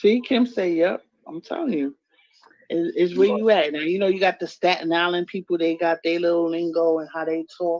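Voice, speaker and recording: A woman with a New York accent speaks at a fairly low pitch in a dry, close sound with no echo. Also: ordinary pitch variation, moderate pace. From New York City, the Bronx. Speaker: live stream guest. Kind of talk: casual chat.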